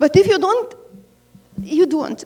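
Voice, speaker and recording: The speaker is female. Her accent is non-native. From Ukraine. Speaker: parishioner. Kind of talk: testimony at Q&A. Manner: halting.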